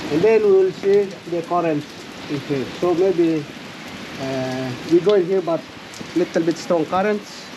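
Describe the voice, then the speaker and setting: A high-pitched man's voice at a fairly slow pace with ordinary pitch variation, against noticeable background noise. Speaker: dive guide. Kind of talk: dive briefing explanation. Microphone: camera far.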